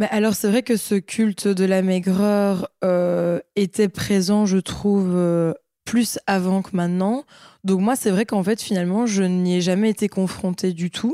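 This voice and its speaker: A woman speaks at medium pitch and a fairly slow pace, her tone dark and mellow. Her loudness stays very even, the intonation fairly even, and the sound is dry and close with no echo. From Belgium, Liège. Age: 20s. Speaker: fashion model. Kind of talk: interview. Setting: at home. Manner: halting.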